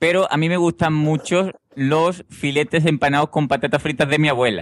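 A man with a plain, everyday voice and fairly high pitch talks at a fairly quick pace on a very clean recording with a silent background and a dry, close sound with no echo. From Seville, Andalusia. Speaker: podcaster. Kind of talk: casual chat.

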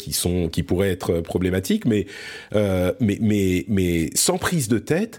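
Very slow pace from a man with lively intonation, in a very clean recording with a silent background. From France. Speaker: podcast host. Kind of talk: casual chat.

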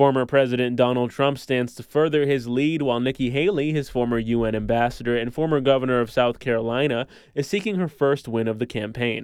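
At a fairly quick pace, an unremarkable speaking voice moves with ordinary pitch variation. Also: man. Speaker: radio news anchor. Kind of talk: news reading, scripted radio newscast. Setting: studio. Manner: formal, steady, even-paced.

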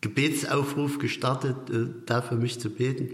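In a room with audible echo, a man speaks in a monotone, flat manner at medium pitch and moderate pace. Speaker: master carpenter and business owner. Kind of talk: interview. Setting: factory hall.

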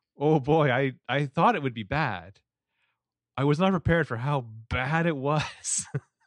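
Over a quiet background, a man with an American accent speaks at a fairly slow pace. His pitch is fairly high, with ordinary pitch variation. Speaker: podcast co-host. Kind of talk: casual chat.

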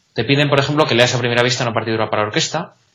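This man has a medium-pitched voice. His pitch varies in an ordinary way. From Spain, Salamanca. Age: young. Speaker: blind music student, trainee conductor. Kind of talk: interview. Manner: halting.

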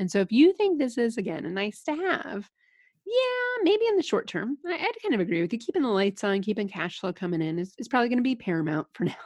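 At a very fast pace, a woman speaks with fairly high pitch and very wide pitch swings. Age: 30s. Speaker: leadership consultant and speaker. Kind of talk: casual interview.

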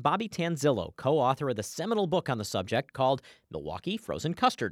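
Talking at a very fast pace, a man with a fairly high pitch and vocal fry swings very widely in pitch, in a dry, close sound with no echo. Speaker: radio host. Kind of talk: radio magazine show. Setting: studio.

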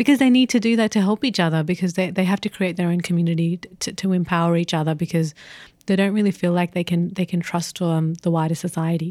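In an Australian accent, a woman speaks very fast with a dark, mellow tone, fairly low pitch and ordinary pitch variation, on a very clean recording with a silent background. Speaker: podcast co-host, editor. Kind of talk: casual chat.

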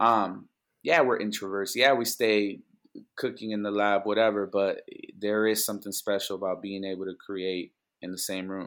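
On a very clean recording with a silent background, a man with a Spanish accent and a fairly low pitch talks at a moderate pace with fairly even intonation. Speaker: music producer. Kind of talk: casual interview chat. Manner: conversational, relaxed.

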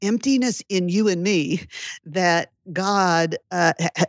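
In an unremarkable speaking voice, a woman talks at a fairly low pitch with ordinary pitch variation. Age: 50s. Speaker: Bible teacher and author. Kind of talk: interview.

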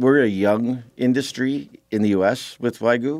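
A man talks with an American accent on a very clean recording with a silent background. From Wisconsin. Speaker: cattle farmer. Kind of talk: radio interview. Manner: halting, many fillers and restarts.

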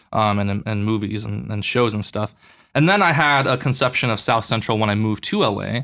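An unremarkable speaking voice from a man, fairly low in pitch with ordinary pitch variation, at a fairly quick pace on a very clean recording with a silent background. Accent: American. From US West, Boulder, Colorado. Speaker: church worker. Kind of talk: casual chat.

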